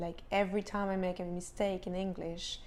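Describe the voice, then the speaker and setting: At a fairly quick pace, a woman with a French accent speaks at medium pitch. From France, Paris. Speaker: actress and vlogger. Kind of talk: casual vlog monologue.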